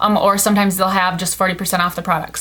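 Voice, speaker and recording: A woman speaks over noticeable background noise. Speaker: beauty vlogger. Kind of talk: product review haul. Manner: fast; casual, filler-heavy.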